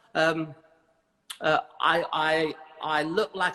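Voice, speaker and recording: A man with a British accent speaks in a fairly high pitch. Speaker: hairdressing educator. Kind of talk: interview. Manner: halting.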